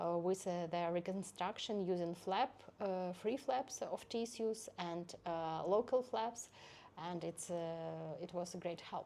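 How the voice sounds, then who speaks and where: In a Ukrainian accent, a woman speaks very slowly in a dark, mellow tone at a fairly low pitch. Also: ordinary pitch variation. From Ukraine, Zaporizhzhia. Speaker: head and neck surgeon. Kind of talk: interview. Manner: halting.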